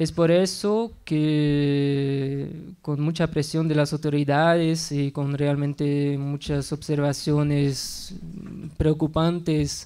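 Speaking at a very slow pace with a non-native accent, a man has a fairly high pitch, a dark, mellow tone, and monotone, flat intonation against a quiet background. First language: not Spanish (speaking Spanish). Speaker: researcher and conference speaker; conference speaker. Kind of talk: conference talk. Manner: halting. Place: classroom. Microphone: podium.

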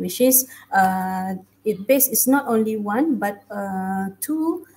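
Somewhat breathy, a woman speaks with ordinary pitch variation. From Malaysia. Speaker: academic researcher; conference presenter. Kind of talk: conference presentation. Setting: video call. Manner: halting. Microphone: headset.

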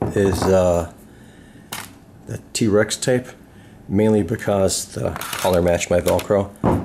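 Speaking very slowly with long, frequent pauses, a man with a fairly low pitch is heard over noticeable background noise. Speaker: DIY hobbyist. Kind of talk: casual DIY tutorial talk. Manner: mumbling. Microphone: phone near.

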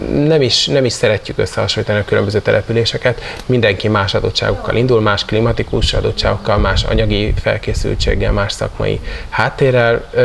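A man at a fairly quick pace, light background noise behind him. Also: very even loudness. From Hungary. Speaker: national competition organizer. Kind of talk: interview. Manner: hesitant with fillers. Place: garden. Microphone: lapel.

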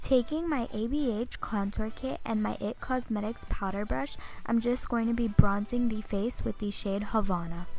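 Moderate pace from a woman with hardly any pauses and ordinary pitch variation, a dry sound with no echo, and faint music in the background. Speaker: beauty vlogger. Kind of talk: makeup tutorial narration.

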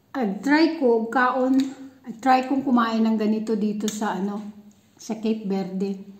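A woman talks at a fairly slow pace. Room echo is audible over a quiet background. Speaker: vlogger. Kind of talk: casual vlog chat. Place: home room. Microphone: phone near.

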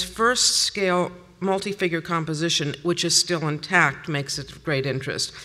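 Bright and sharp in tone, a woman speaks at a moderate pace with lively intonation. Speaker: paintings conservator; conference presenter. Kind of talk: conference lecture. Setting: stage with audience. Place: hall.

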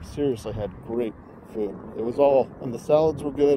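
A man talks at a moderate pace. The sound is dry with no echo and light background noise. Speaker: vlogger. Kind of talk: casual vlog chat. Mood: nostalgic, relaxed. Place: street. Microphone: phone near.

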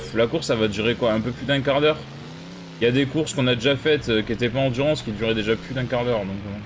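Very fast speech from a man, medium in pitch and fairly even in intonation. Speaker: gaming streamer. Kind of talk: live gameplay commentary. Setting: live stream. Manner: casual, hesitant with many fillers.

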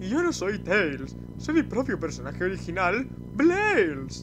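A put-on character voice comes at a fairly slow pace over loud background noise. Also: man. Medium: dub.

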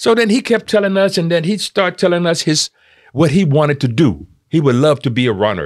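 In a high pitch with very wide pitch swings, a man speaks with a Californian accent against a quiet background. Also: moderate pace, very even loudness. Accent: Californian American English. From Oakland, California, US West Coast. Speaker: theatre maker; podcast guest or co-host. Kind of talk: casual chat. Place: studio. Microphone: studio mic.

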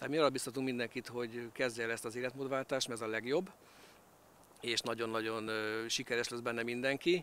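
A man at a medium pitch and a fairly quick pace, in dry sound with no echo and light background noise. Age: 50s. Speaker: direct-sales distributor. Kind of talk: interview. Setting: outdoors. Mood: calm, positive. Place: waterside. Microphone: handheld.

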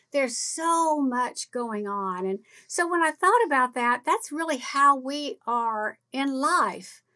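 A woman's raised, projected high voice, very slow with hardly any pauses and very wide pitch swings. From California, Oklahoma, then Louisiana. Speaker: podcast co-host. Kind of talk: casual chat.

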